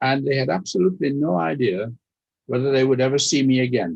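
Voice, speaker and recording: A man at medium pitch with a German accent. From Austria, later raised in Leeds. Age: 90s. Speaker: Holocaust survivor speaker. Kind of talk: testimony. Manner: formal.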